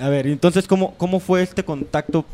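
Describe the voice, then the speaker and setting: Here a man speaks at a fairly quick pace in a dark, mellow tone. The sound is dry and close, with no echo. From Mexico. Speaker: radio host. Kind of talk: casual radio talk.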